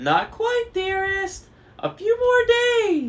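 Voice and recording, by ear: A man uses a put-on character voice in falsetto, with extremely high pitch and a very slow pace.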